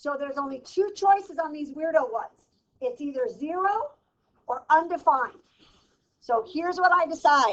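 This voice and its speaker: An extremely high-pitched woman with an animated tone and lively intonation, big swings in loudness, long, frequent pauses and a moderate pace. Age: 60s. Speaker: math teacher. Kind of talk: classroom lecture. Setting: classroom.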